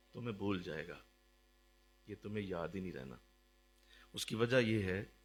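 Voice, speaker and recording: A man speaks over music in the background. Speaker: religious teacher. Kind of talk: sermon.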